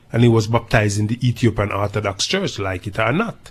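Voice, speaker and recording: A somewhat breathy man with a Jamaican accent speaks at a moderate pace in a medium pitch. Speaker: dub poet. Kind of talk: interview answer.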